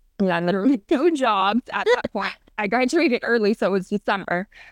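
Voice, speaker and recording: Speaking in a General American accent, a woman with an unremarkable speaking voice talks at a fairly high pitch with lively intonation, recorded with a dry, close sound, no echo, and a quiet background. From Arizona. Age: 20s. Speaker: professional volleyball player. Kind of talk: interview.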